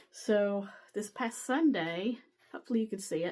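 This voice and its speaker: Her tone dark and mellow, a woman speaks at a fairly slow pace. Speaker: cross-stitch vlogger. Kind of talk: casual show-and-tell vlog.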